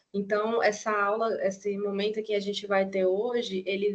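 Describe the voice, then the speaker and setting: A woman's medium-pitched voice in a Cearense accent, monotone with flat intonation. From Ceará, Brazil. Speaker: professor. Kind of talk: lecture. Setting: video call.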